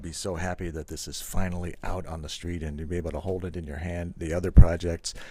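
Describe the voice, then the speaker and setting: A man speaks with an American accent and a very deep, low pitch. His tone is dark and mellow. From United States. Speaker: bass website founder and interviewer. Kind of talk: interview. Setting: music event at a company headquarters in Germany.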